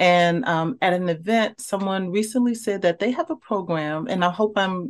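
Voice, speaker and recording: A woman with a slight Southern US accent speaks with ordinary pitch variation on a very clean recording with a silent background. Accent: slight Southern rhythm in speech. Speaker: university professor and researcher. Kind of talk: casual interview chat.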